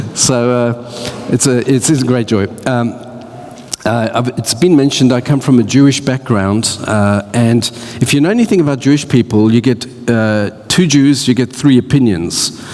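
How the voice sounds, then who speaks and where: Noticeable background noise sits behind a man who speaks at a medium pitch with ordinary pitch variation. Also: moderate pace. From Australia. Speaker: church speaker. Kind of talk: talk to church audience. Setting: church with audience. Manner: halting.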